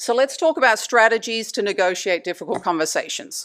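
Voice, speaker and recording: A woman speaks at a moderate pace with very wide pitch swings. The recording is very clean, with a silent background. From Australia. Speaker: anesthesia provider giving a talk. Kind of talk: lecture.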